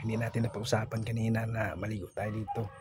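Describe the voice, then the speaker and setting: Music plays in the background as a man speaks at a very fast pace. His pitch sits in the medium range, and his intonation stays monotone and flat. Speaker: vlogger. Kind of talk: vlog voice-over. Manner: casual.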